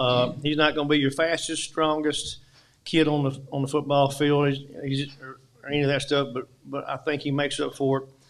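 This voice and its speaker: A man with an Arkansas accent speaks at a moderate pace in a fairly high pitch, his intonation flat and monotone. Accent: Southern US (Arkansas). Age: 60s. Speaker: high school football coach. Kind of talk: press conference.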